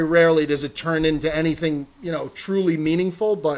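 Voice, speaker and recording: Speaking at a moderate pace with fairly even intonation, a man with an American accent has a fairly high pitch. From North Jersey, US. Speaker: golf content personality. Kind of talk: podcast interview. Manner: loud, projecting; boisterous at times.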